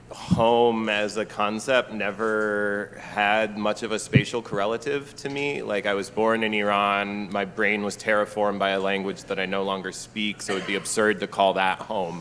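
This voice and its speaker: Speaking slowly-ish, a man with an American accent uses a fairly low pitch, fairly even intonation, and a fairly slow pace. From US Midwest, Milwaukee area. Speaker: novelist and poet, panelist. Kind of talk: book festival panel discussion. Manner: hesitant, many fillers.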